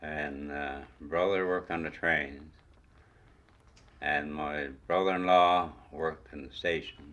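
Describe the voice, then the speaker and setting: A man's very deep, low voice in a Newfoundland accent, very slow pace and fairly even intonation. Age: old. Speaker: retired railway worker. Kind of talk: oral history interview.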